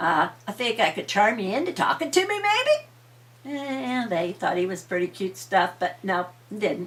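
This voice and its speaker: A woman at a medium pitch, talking at a fairly slow pace over noticeable background noise. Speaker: grandmother storyteller. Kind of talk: bedtime story telling.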